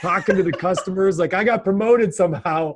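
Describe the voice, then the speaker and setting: A loud man's voice with a high pitch. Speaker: podcast co-host. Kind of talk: casual chat.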